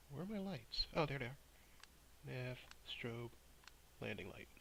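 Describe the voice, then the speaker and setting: Lively in intonation, a man with an American accent speaks at medium pitch with vocal fry. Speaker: flight sim vlogger. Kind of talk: casual tutorial-style vlog narration. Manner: casual, hesitant with fillers.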